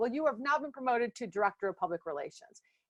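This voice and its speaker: The speech goes at a very fast pace. The sound is dry and close, with no echo. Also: woman. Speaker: leadership speaker. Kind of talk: presentation talk. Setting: virtual summit.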